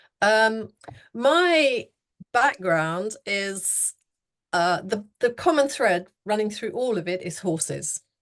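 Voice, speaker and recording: Speaking at a very slow pace, a woman with an English accent has a fairly high pitch. Her pitch swings very widely. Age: 60s. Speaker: horsemanship coach. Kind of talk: interview.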